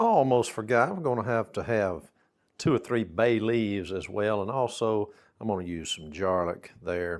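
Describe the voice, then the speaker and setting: In a Southern US accent, a man with a fairly low pitch speaks at a moderate pace in a relaxed tone with ordinary pitch variation on a very clean recording with a silent background. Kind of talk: casual cooking talk to camera. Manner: folksy, relaxed.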